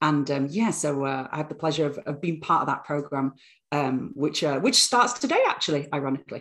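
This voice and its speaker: Speaking fairly quickly in a British accent, the woman has a very deep, low pitch. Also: lively intonation. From northern England, Bradford. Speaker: university lecturer and author. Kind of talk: podcast interview.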